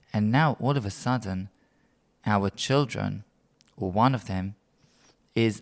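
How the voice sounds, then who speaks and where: A man with a British accent talks at a fairly slow pace. The recording is very clean, with a silent background. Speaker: rabbi. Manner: measured, formal.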